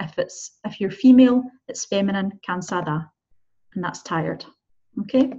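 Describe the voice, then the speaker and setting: With a Scottish accent, a woman speaks at a moderate pace with long, frequent pauses and big swings in loudness. Her voice is somewhat breathy with ordinary pitch variation, over a quiet background. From Scotland. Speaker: Spanish teacher. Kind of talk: tutorial. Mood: friendly, encouraging. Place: car. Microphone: webcam.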